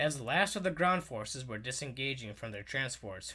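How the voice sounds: Lively intonation in a natural reading voice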